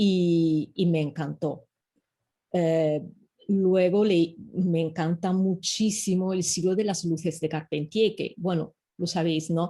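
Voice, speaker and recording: The voice has a dark, mellow tone and is somewhat breathy. It moves at a very slow pace with fairly even intonation. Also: woman, fairly low pitch for a woman. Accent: Italian. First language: Italian (speaking Spanish). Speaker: professor. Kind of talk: interview. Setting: video call. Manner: halting.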